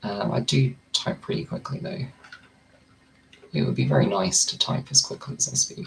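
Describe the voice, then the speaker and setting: The speech moves at a moderate pace with long, frequent pauses. Noticeable background noise runs underneath. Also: man. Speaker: content creator. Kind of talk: casual monologue while typing practice.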